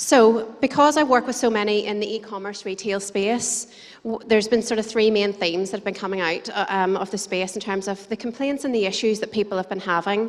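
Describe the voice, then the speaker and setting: With an Irish accent, a woman talks at a fairly quick pace with hardly any pauses, a fairly high pitch and fairly even intonation. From Ireland. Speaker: conference speaker, digital marketer. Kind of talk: conference presentation. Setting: stage with audience. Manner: fast.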